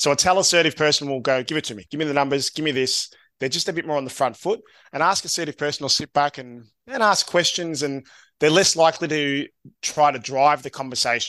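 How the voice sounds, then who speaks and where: Delivered at a very fast pace, the voice has a bright, sharp tone with an Australian accent. The background is quiet. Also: man, fairly high pitch for a man, ordinary pitch variation. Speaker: SEO agency co-founder. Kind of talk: casual interview. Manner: upbeat, affirming.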